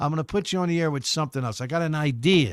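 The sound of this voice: Clear and smooth in tone, a man speaks fast at a fairly high pitch with ordinary pitch variation.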